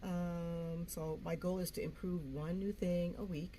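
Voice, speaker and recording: Audible room echo surrounds a woman's somewhat breathy voice with a dark, mellow tone. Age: 60s. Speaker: YouTuber. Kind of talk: casual vlog talk. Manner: free-flowing, halting with fillers.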